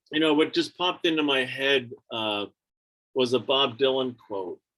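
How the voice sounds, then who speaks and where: Using a plain, everyday voice, a man speaks fairly slowly with ordinary pitch variation. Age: 60s. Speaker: teacher and storyteller. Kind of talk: personal storytelling on a video call. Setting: video call.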